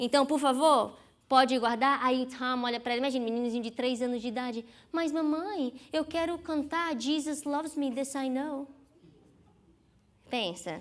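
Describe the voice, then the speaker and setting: A woman with a high pitch speaks at a moderate pace, using ordinary pitch variation and long, frequent pauses. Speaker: psychologist giving a sermon. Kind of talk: sermon. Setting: church.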